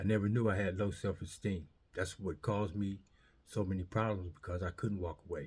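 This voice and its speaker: Somewhat breathy and fairly low in pitch, a man with an American accent speaks with fairly even intonation. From Southern California. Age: 60s. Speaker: formerly incarcerated man. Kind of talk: testimony. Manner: halting, many fillers.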